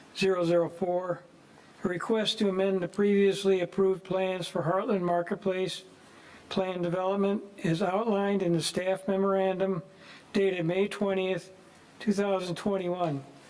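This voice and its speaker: A man's high voice in a monotone, flat intonation, with very even loudness over noticeable background noise. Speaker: planning commissioner. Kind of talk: reading a formal motion.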